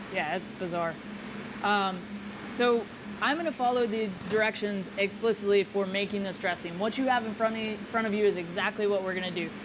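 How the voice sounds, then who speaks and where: With an American accent, a woman talks at a fairly quick pace with a medium pitch and ordinary pitch variation over noticeable background noise. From Texas. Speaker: chef. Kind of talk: cooking demonstration. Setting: live event at a restaurant.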